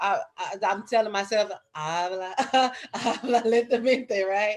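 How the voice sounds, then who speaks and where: The woman's fairly slow speech carries ordinary pitch variation. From Arkansas, US. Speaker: English teacher. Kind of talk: interview. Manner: halting.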